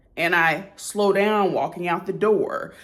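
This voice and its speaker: A woman speaks at a fairly slow pace, with audible room echo. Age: 30s. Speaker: lifestyle vlogger. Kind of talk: casual talk to camera.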